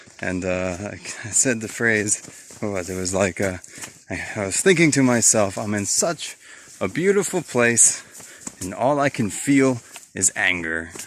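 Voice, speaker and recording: Noticeable background noise surrounds this recording. A man with a fairly low voice speaks at a fairly slow pace, his intonation lively. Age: 70s. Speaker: long-distance hiker vlogger. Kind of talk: casual vlog talk. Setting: outdoors on a hiking trail. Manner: halting.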